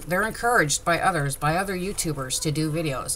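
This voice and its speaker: A woman's fairly low voice amid noticeable background noise and audible room echo. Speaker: crafter. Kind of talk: tutorial. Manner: loud; animated.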